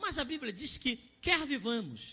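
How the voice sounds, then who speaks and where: A man speaks at a fairly slow pace in an extremely high pitch, his raised, projected voice bright and sharp in tone, with very wide pitch swings. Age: 30s. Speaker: pastor. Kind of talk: sermon. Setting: online church service broadcast. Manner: impassioned.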